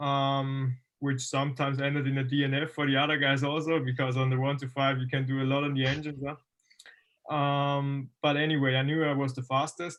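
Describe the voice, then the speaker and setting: This man speaks in a German accent at a fairly quick pace with hardly any pauses. His pitch is fairly high and his intonation monotone and flat. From Austria. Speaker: motocross racer. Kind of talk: interview. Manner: halting.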